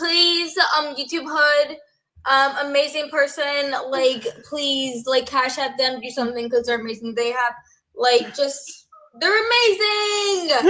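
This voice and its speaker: A woman speaks fairly slowly in a high, projected voice with lively intonation. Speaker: livestream participant. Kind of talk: group discussion. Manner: halting, frequent pauses.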